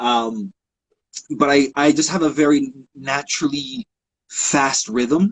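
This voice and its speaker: A man speaks at a very slow pace. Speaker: photographer and author. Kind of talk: casual interview chat.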